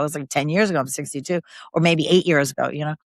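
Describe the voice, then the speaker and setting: A woman's voice with ordinary pitch variation comes through a very clean recording with a silent background and a dry, close sound with no echo. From New York City, Queens. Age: 60s. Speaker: podcast guest, mother. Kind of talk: casual conversation interview.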